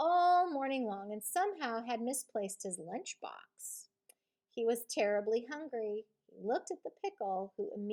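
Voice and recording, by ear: Over a quiet background, a passage is read aloud in a natural voice, the intonation lively.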